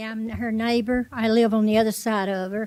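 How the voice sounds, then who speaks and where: A woman with a Tennessee accent speaks fairly slowly at a fairly high pitch, in a dark, mellow tone. Her intonation is monotone and flat, in a dry, close sound with no echo. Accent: Southern US (Tennessee). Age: 80s+. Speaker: resident speaking at public meeting. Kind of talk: public comment.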